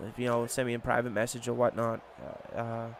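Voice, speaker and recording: This man, at a medium pitch and a moderate speed, is heard over noticeable noise in the background. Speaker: gaming youtuber. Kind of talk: gameplay commentary. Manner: halting.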